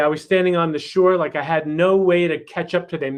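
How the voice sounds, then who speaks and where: A man with a New York accent, high-pitched and fairly quick. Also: quiet background. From New York City, Queens. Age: 60s. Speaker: chiropractor and family mentor. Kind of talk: workshop talk.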